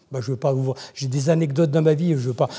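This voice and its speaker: The man's voice is fairly high in pitch, somewhat breathy, and dark and mellow in tone. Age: 70s. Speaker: church member giving testimony. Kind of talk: testimony. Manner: halting, many repetitions.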